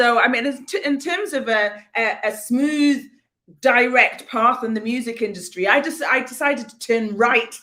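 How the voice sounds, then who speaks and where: At a moderate pace, a woman speaks in a high pitch with a bright, sharp tone. Her pitch varies in an ordinary way, but her loudness swings a lot. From northeast England, Newcastle. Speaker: singer and vocal coach. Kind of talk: casual interview. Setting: livestream video call.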